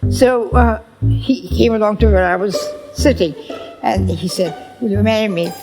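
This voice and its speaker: The woman speaks at a moderate pace. Music plays in the background. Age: 80s+. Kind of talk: interview answer.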